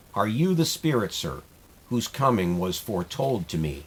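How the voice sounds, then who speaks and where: Using a put-on character voice, a man speaks at a fairly low pitch with very wide pitch swings. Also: moderate pace. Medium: read story.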